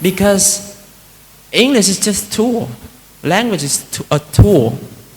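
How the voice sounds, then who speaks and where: A man speaks with a Vietnamese accent. His intonation is lively. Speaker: Buddhist monk giving a talk. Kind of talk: dharma talk. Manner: conversational, many fillers.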